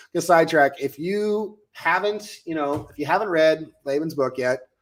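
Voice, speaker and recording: Captured on a very clean recording with a silent background, a man with an American accent speaks at a fairly high pitch with ordinary pitch variation. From United States. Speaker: life coach and podcast host. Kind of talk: casual podcast chat. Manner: animated.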